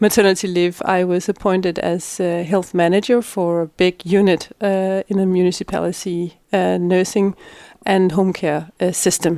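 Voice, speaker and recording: In a very clean recording with a silent background and a dry, close sound with no echo, a woman with a Danish accent speaks in a dark, mellow tone at a medium pitch, with monotone, flat intonation at a moderate pace. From Denmark, Middelfart. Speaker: politician. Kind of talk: interview. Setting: in person. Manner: halting, many fillers.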